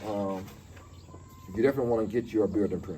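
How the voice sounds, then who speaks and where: The voice belongs to a man. Background noise is clearly audible behind him. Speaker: vlogger living in Ghana. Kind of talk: casual vlog tutorial. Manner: fast; halting, repeats words.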